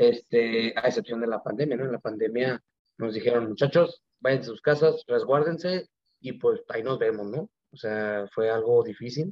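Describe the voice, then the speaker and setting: Moderate pacing and ordinary pitch variation from a man speaking at a medium pitch. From Mexico, Mexicali, Baja California. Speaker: Olympic archer. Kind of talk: interview. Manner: halting, many fillers and repetitions.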